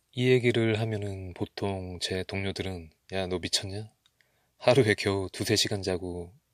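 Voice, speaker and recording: This is a man with an ordinary speaking voice. His pitch sits fairly low. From Korea. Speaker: ASMR creator. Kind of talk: ASMR talk to listener. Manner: soft-spoken.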